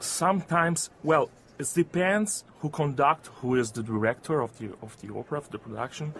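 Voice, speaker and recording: Lively intonation and a moderate pace mark this speech in an Italian accent. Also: man. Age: young. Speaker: opera singer. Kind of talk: interview. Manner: halting.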